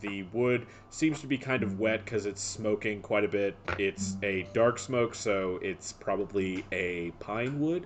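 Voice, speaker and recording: Using a fairly low pitch with ordinary pitch variation, a man with a Midwestern accent speaks at a fairly slow pace. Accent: Midwest. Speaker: dungeon master. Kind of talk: tabletop role-play narration. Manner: hesitant, with fillers.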